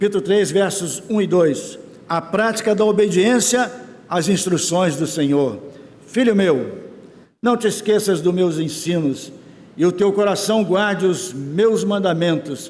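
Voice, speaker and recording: A man talks at a fairly slow pace in a high voice with ordinary pitch variation. His loudness stays very even, and the room echo is audible. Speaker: church elder preaching. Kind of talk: sermon.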